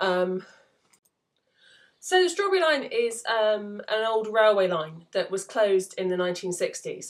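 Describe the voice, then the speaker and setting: With an English accent, the speaker goes at a fairly slow pace with lively intonation and long, frequent pauses. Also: woman, fairly high pitch for a woman. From England. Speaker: novelist. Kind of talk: casual talk to camera. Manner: hesitant, lots of fillers.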